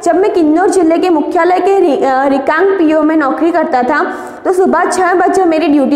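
A woman with an extremely high voice talks at a fairly slow pace with ordinary pitch variation. Room echo is audible. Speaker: teacher. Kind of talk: lecture. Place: classroom. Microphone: camera far.

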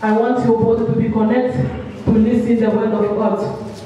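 Strong room echo around a moderate pace of speech. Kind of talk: sermon. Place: church.

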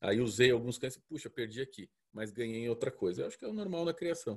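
Against a quiet background, a man talks at a very fast pace. His voice is somewhat breathy. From Curitiba, southern Brazil; Paraná, Brazil. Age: 40s. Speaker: dog breeder. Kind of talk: lecture. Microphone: earbuds.

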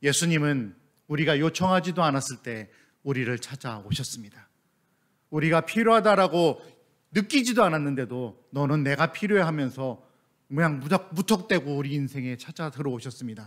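A man speaks at a moderate pace in a fairly high pitch, with lively intonation. The background is quiet. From South Korea. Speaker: missionary pastor; missionary preacher. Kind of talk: sermon. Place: church. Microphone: podium.

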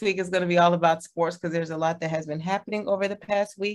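A woman with an American accent has a plain, everyday voice at a medium pitch, with fairly even intonation. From Texas. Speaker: podcast co-host. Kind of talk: casual chat.

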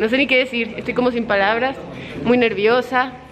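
Fairly brisk female speech against clearly noticeable background noise. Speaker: vlogger. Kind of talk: casual vlog chat. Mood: nervous but excited. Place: hall. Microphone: phone near.

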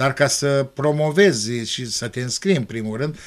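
A man speaks at a fairly slow pace. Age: 60s. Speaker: school principal; guest. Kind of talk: TV interview. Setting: TV studio. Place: studio. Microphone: studio mic.

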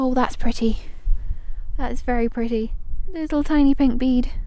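Her intonation fairly even, a woman talks at a fairly slow pace. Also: dry sound with no echo. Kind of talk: casual vlog chat. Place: open country. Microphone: phone near.

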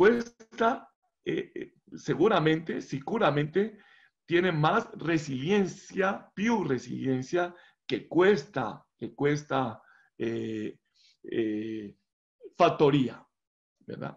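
A man at a very slow pace, with very wide pitch swings and long, frequent pauses. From Colombia. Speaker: professor. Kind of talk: lecture. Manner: halting. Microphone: video call.

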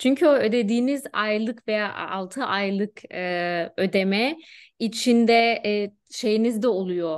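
At a very slow pace and a fairly high pitch, a woman speaks with ordinary pitch variation against a quiet background. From Germany (Turkish-German). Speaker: HR specialist; guest. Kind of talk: casual interview. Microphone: video call.

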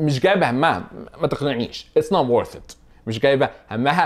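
A man speaks in an animated tone with lively intonation and a fairly high pitch, over a quiet background. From Egypt. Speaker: vlogger teaching English phrases. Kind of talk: tutorial. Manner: casual, animated. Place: home room. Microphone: lapel.

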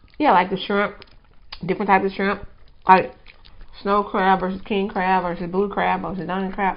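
A woman talks at a moderate pace. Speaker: food vlogger. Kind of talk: casual mukbang chat. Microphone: lapel.

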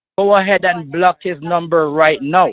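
A man talks at a moderate pace. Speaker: phone scammer. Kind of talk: casual phone conversation. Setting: phone call.

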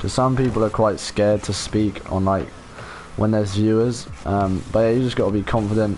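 Against noticeable background noise, a man with a southern English accent talks at a fairly quick pace in a fairly low voice, his loudness very even. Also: fairly even intonation. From southern England, Portsmouth. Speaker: gaming streamer. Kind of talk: casual live stream chat with viewers. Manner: casual, laid-back.

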